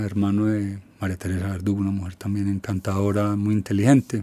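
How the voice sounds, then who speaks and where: At a very fast pace, a man speaks in a dark, mellow tone with flat, monotone intonation. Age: 60s. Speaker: musician. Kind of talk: interview.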